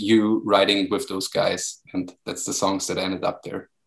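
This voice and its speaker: A man speaks at a fairly low pitch with monotone, flat intonation. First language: German. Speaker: music magazine podcast host. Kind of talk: interview.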